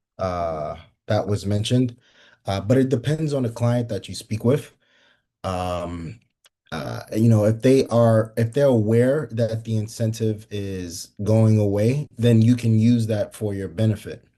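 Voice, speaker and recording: This man has a medium pitch and a dark, mellow tone, with ordinary pitch variation. He speaks fairly slowly against a quiet background. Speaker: solar sales trainer. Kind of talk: training session. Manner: halting, many fillers.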